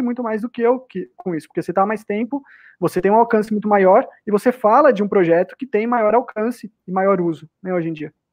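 A man's high voice moves along at a fairly quick pace. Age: 30s. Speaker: cryptocurrency advocate. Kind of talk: casual debate.

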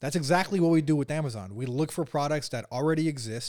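Speaking at a very fast pace, a man with an American accent shows ordinary pitch variation on a very clean recording with a silent background. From US West Coast, San Francisco Bay Area. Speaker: e-commerce entrepreneur. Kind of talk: podcast interview.

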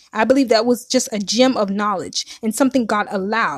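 A woman speaks at a fairly quick pace with a fairly high pitch, ordinary pitch variation, and a somewhat breathy quality, recorded with a dry, close sound and no echo. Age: 30s. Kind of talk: testimony. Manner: casual, conversational.

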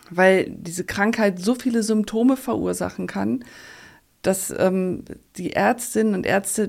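Speaking at a fairly slow pace, a woman uses a medium pitch with ordinary pitch variation and some vocal fry. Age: 50s. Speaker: endometriosis patient. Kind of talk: interview.

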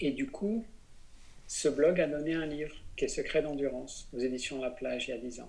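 Speaking at a moderate pace, a man leaves long, frequent pauses and shows big swings in loudness. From France, Besançon. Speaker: business coach and plant-based cooking school director. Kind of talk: interview conversation.

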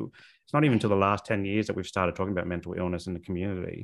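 Here a man speaks with an Australian accent. His fairly low voice keeps a fairly even intonation. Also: very clean recording, silent background. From South Australia, northern suburbs of Adelaide. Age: 30s. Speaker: social worker and therapist. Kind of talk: podcast interview.

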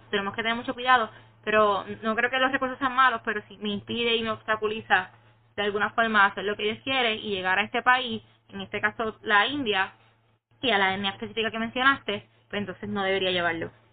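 A woman speaks very fast at a fairly high pitch with fairly even intonation. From Puerto Rico. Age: 20s. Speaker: young guest. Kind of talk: casual chat. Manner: halting.

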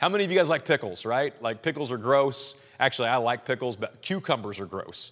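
Talking at a very fast pace, a man speaks with a Midwestern American accent. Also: very clean recording, silent background. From Southwest Missouri. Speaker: pastor. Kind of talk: sermon. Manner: casual, conversational.

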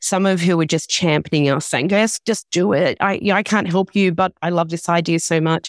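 With a plain, everyday voice, a woman speaks at a fairly quick pace with hardly any pauses and a fairly low pitch. Her intonation stays fairly even and her loudness very even, in a dry, close sound with no echo. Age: 50s. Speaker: founder of a magazine and platform for women over forty. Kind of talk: interview.

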